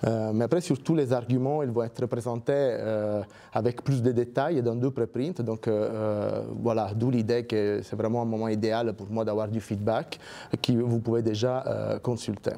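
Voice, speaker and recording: Pitched in the medium range, a man speaks at a fairly slow pace with fairly even intonation. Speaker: research scientist. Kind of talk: lecture. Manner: halting, many fillers and repetitions.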